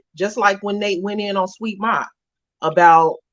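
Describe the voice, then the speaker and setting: A woman speaks loudly. Her intonation stays fairly even. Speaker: podcast host. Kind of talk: casual chat. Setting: live stream. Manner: aggressive delivery.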